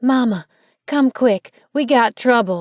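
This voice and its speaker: A female-sounding voice in a put-on character voice speaks at a high pitch and a fairly slow pace. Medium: read story.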